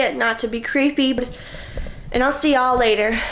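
A woman speaks at a moderate pace with fairly even intonation. There is light background noise. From Florida. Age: 20s. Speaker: vlogger, college student. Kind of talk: casual vlog talk to camera.

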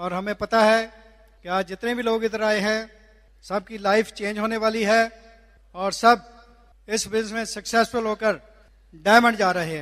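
A high-pitched man with fairly even intonation and long, frequent pauses. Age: 60s. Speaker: physician and direct-selling business leader. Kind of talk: motivational speech. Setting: stage with audience.

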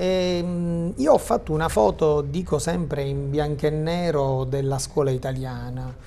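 A man speaks in a plain, everyday voice, fairly high and fairly slow. His pitch varies in an ordinary way over light background noise. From Sicily. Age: 50s. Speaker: high school teacher and journalist; teacher, guest. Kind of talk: TV talk show discussion. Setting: studio. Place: studio. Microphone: lapel.

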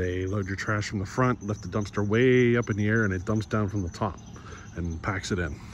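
With a fairly low pitch and ordinary pitch variation, a man speaks at a moderate pace in a dry sound with no echo, over light background noise. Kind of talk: casual vlog chat. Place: street. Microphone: phone near.

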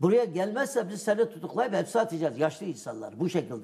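Background sound is quiet. A man delivers his words fairly quickly with lively intonation. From East Turkestan (Yarkand), Uyghur; East Turkestan. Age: 60s. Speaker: activist and editor on East Turkestan; guest. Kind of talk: TV interview; interview answer. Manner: hesitant, many fillers. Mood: serious, earnest. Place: studio. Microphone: lapel.

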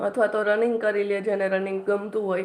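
The speaker is a woman with a fairly high-pitched voice. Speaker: YouTuber and exam aspirant. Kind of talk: study tips livestream. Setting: live stream. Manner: casual, with frequent filler pauses.

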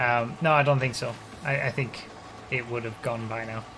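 Faint music plays in the background as a man speaks at a medium pitch with fairly even intonation. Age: 30s. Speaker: gaming streamer. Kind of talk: let's play commentary. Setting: live stream. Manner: casual, conversational. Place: home room.

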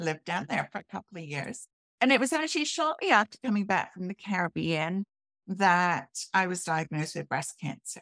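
Speaking at a fairly quick pace with lively intonation, a woman with a British accent has a medium-pitched voice that sounds dry with no echo against a quiet background. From UK. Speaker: health and transformational coach. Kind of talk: interview, personal testimony. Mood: earnest, personal storytelling. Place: home room.

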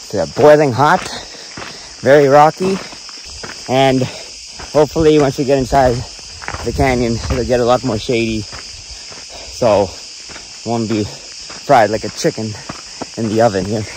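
A man at a fairly slow pace with ordinary pitch variation, long, frequent pauses, a dry sound with no echo and noticeable background noise. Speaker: solo hiker vlogger. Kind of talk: casual vlog chat. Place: open country. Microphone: phone near.

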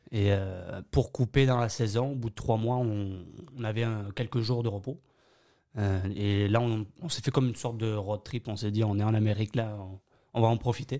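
A man at a moderate pace, fairly even intonation, against a quiet background. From Bayonne, southwest France. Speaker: French immigrant, hospitality worker. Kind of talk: interview. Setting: studio. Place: studio.

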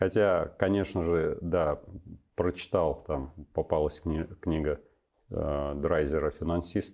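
In a dark, mellow tone over a quiet background, the voice moves at a very slow pace with long, frequent pauses and fairly even intonation. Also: man, very deep, low pitch for a man. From western Russia, Smolensk region; Russia. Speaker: army officer and university lecturer; guest. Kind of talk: interview. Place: studio.

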